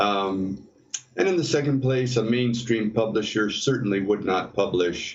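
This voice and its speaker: Medium-pitched man with an American accent at a fairly slow pace. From US Midwest (Detroit, Ohio, Minnesota). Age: 60s. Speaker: novelist. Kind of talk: interview. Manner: halting, many fillers.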